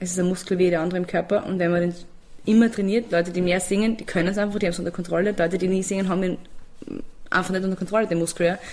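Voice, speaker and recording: With a monotone, flat intonation, a woman at medium pitch speaks at a very fast pace. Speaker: singer and music producer. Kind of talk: interview.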